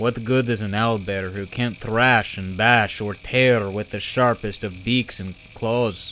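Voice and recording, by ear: A text is being read aloud in a natural voice.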